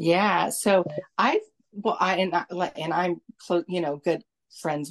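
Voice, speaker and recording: Heard in a dry, close sound with no echo, a woman speaks with fairly even intonation and an American accent. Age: 40s. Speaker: bodybuilder and adult performer. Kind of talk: interview. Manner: filler-heavy.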